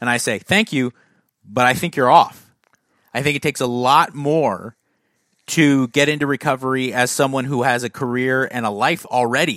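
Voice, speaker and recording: A man with an unremarkable speaking voice, medium pitch, ordinary pitch variation and moderate pace, on a very clean recording with a silent background and a dry, close sound with no echo. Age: 30s. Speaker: fitness podcast host, former bodybuilder. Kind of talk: casual chat and Q and A.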